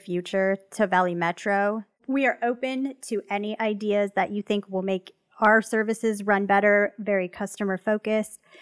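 At a moderate pace, a woman with a medium pitch speaks in a plain, everyday voice, recorded dry and close with no echo. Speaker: podcast host. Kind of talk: casual interview.

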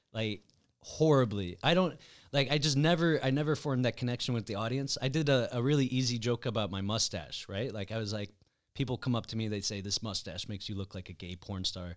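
In a very clean recording with a silent background, a man with an ordinary speaking voice talks fairly quickly at a medium pitch with lively intonation. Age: 30s. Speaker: podcast host and comedian. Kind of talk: casual chat.

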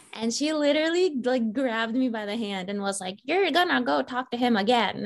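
Over noticeable background noise, a woman with an American accent talks at a fairly quick pace, her fairly high voice showing lively intonation. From Northern Virginia, US. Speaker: film writer and director. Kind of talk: casual interview chat. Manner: animated.

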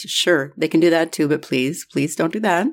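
On a very clean recording with a silent background, a woman talks at a fairly quick pace with ordinary pitch variation. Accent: American. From Minnesota. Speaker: political podcast host. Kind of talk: solo commentary podcast. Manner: sarcastic.

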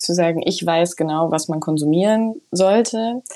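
Her tone is dark and mellow, at a fairly low pitch. The woman keeps a moderate pace. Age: 20s. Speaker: journalist and nonfiction author. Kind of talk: interview. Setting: remote connection.

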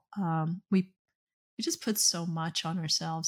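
On a very clean recording with a silent background, a woman with an American accent and a normal speaking voice talks at a moderate pace in a fairly low pitch with ordinary pitch variation. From US Deep South, Okefenokee Swamp area (south Georgia). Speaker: dental business coach and CEO. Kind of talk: podcast interview.

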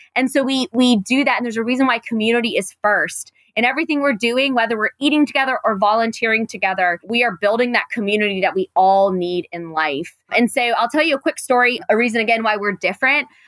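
In an American accent, a woman speaks at a very fast pace with hardly any pauses, a fairly high pitch and lively intonation. The sound is dry and close, with no echo. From Raleigh, North Carolina. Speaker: nonprofit cafe founder. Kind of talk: interview conversation. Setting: video call.

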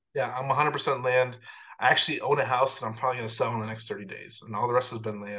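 A man with an American accent talks very fast at a medium pitch, in a bright, sharp tone. His loudness swings widely, and the room echo is audible. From US Midwest, Chicago. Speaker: software founder and real estate investor. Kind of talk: interview.

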